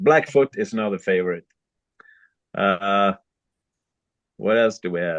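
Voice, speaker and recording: A man with a Swedish accent speaks at a moderate pace, the sound dry and close with no echo and the background quiet. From Sweden. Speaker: fly tyer and fishing guide. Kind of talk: tutorial. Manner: halting.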